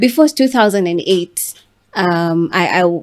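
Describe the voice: A woman's fairly low pitch, lively intonation and fairly slow pace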